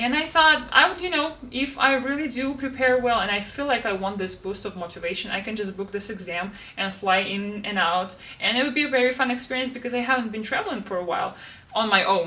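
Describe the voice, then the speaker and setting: A woman talks at a very fast pace with lively intonation, in a Russian accent. Both room echo and background noise are noticeable. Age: 20s. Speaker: planner YouTuber and language tutor. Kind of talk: casual planner flip-through vlog.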